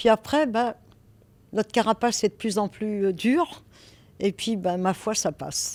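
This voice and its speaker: Speaking at a fairly slow pace, a woman uses lively intonation and a fairly high pitch, leaving long, frequent pauses. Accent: Parisian. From France, Paris. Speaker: real estate broker. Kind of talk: interview. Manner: hesitant, with fillers.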